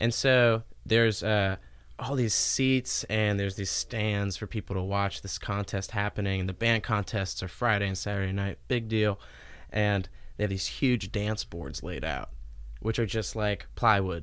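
A man's normal speaking voice with an American accent, fairly low in pitch, ordinary pitch variation and a moderate pace, on a very clean recording with a silent background. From Cincinnati area, Ohio. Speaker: musician, singer-songwriter. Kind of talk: casual chat.

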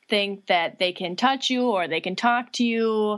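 Against a quiet background, a woman with an American accent speaks very slowly at a fairly high pitch with lively intonation. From Minnesota, Litchfield. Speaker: installation and performance artist. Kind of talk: casual interview.

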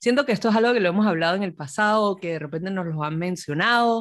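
On a very clean recording with a silent background, a woman with a normal speaking voice talks at a fairly low pitch with lively intonation. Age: young. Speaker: podcast host. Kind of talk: interview.

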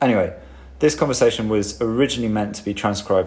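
A man speaks at a fairly quick pace in a fairly low voice. His speaking voice is unremarkable, with ordinary pitch variation. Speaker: podcast host and bar worker. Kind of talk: casual interview chat. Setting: empty bar, recorded in lockdown.

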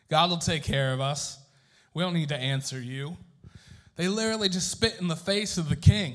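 Ordinary pitch variation at a moderate pace, broken by long, frequent pauses. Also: man, fairly high pitch for a man. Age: 30s. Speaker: pastor. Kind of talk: sermon. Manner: animated.

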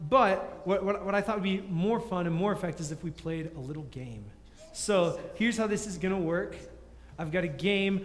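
A man speaks at a fairly quick pace and a high pitch, with ordinary pitch variation. Audible room echo and noticeable background noise surround him. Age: 20s. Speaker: youth pastor. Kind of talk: sermon.

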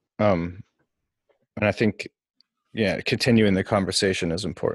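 At a moderate pace, a man with an American accent speaks in a fairly low pitch with fairly even intonation, the sound dry and close with no echo. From Minnesota (Maple Grove). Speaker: podcast co-host. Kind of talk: casual chat.

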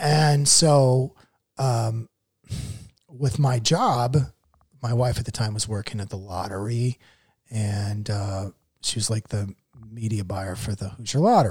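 Speaking at a fairly slow pace with long, frequent pauses, a man with an American accent and a medium pitch sounds somewhat breathy, with ordinary pitch variation in a very clean recording over a silent background. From Iowa, US Midwest. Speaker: comedian and writer. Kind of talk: casual interview chat.

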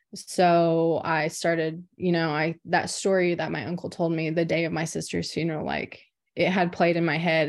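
This woman has an American accent and a fairly low pitch. She talks at a moderate pace with monotone, flat intonation. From Oklahoma, rural near Anadarko. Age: 20s. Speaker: professional basketball player. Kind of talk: casual interview.

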